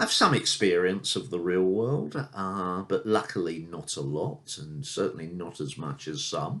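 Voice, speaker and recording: With a British accent, a man of very deep, low pitch speaks at a fairly slow pace with hardly any pauses over a quiet background. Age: 60s. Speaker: martial arts instructor. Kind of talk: casual unscripted video introduction. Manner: hesitant with fillers.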